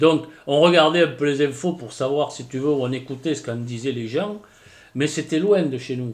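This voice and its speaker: The pitch moves in an ordinary way. The pace is fairly slow. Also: man. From southwestern France, Landes. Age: 50s. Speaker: villager, fire witness. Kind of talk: interview testimony. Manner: halting, hesitant.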